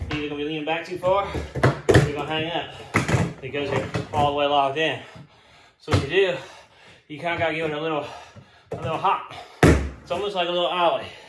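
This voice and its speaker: Loud background noise behind a man's fairly quick speech. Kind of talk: tutorial. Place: garage.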